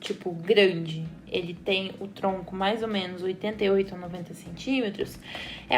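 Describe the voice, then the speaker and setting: A woman's medium-pitched voice with vocal fry, at a moderate pace. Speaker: architect / interior designer. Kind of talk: tutorial.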